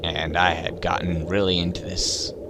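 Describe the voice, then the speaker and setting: There is noticeable background noise as a man speaks in a very deep, low voice. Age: 20s. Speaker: gamer, artist. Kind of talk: casual personal talk to camera. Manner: rambling, hesitant.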